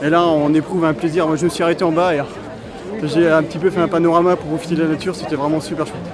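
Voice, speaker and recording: Crowd noise and audible room echo surround a man's high-pitched voice. He speaks very fast in a flat monotone, with long, frequent pauses. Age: 60s. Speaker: amateur runner. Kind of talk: interview.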